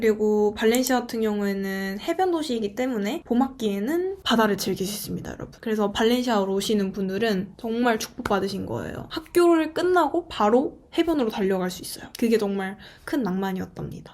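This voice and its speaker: Speaking fairly quickly with hardly any pauses, a woman uses a fairly high pitch, lively intonation and big swings in loudness over noticeable background noise. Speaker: exchange student vlogger. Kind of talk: casual vlog monologue.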